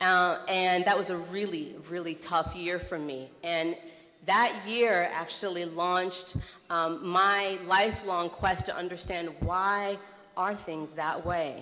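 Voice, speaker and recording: A woman's fairly low voice at a very slow pace, with fairly even intonation and audible room echo. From US Midwest (Iowa). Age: 30s. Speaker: nonprofit executive director, keynote speaker. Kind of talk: keynote speech. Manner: conversational with frequent fillers.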